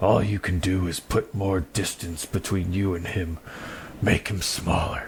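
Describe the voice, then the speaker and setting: Putting on a character voice, a man speaks fairly slowly at a very deep, low pitch over clear background noise. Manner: crazy, unhinged.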